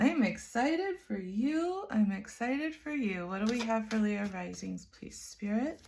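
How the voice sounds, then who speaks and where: Her fairly high-pitched, somewhat breathy voice moves at a fairly slow pace with hardly any pauses. The woman's tone is animated and her intonation lively. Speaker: astrology tarot reader. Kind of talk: tarot reading.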